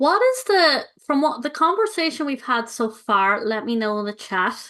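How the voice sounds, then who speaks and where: A woman with an Irish accent speaks at a moderate pace. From Ireland. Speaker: money coach. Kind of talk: live webinar presentation. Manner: animated.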